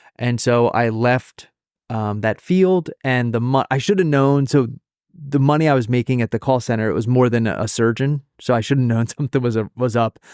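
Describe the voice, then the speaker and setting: A man with an American accent speaks at a medium pitch with ordinary pitch variation, the sound dry and close with no echo. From US Northeast. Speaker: addiction counselor. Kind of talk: podcast interview. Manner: fast.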